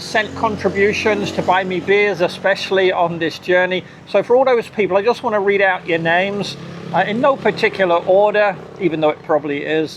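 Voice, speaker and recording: A man with an English accent talks at a fairly quick pace in a high pitch, with noticeable background noise behind him. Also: ordinary pitch variation. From UK. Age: 60s. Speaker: cycling vlogger. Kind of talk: casual vlog. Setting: outdoors by a roadside.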